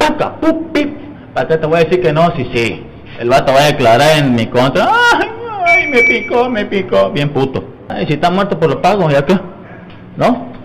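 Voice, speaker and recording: Over noticeable background noise, a high-pitched man talks at a moderate pace with very wide pitch swings. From Mexico. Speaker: arrested man. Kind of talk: street interview. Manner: agitated. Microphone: handheld.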